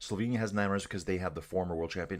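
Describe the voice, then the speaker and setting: Spoken with a Canadian accent, this voice comes through on a very clean recording against a silent background. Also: man. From Canada. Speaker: cycling livestream commentator. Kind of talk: live commentary with chat reading. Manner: fast; casual, animated.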